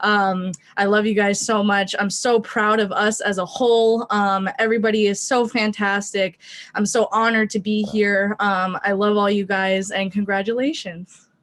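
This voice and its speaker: A woman speaks at a medium pitch and moderate pace. Her intonation is monotone and flat, her loudness very even. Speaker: graduating student. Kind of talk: graduation speech on video call.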